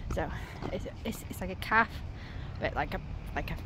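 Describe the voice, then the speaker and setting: A woman's voice comes through dry with no echo, over noticeable background noise. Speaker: vlogger. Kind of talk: casual vlog chat. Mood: cheerful, excited. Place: street. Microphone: phone near.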